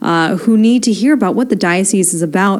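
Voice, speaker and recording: Over noticeable background noise, a woman speaks fairly quickly with ordinary pitch variation. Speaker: radio host. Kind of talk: live radio hosting. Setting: radio studio.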